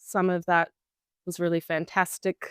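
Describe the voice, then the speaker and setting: Speaking at a moderate pace with an Australian accent, a woman uses a fairly low pitch on a very clean recording with a silent background. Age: young. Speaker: beekeeper. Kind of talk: interview answer.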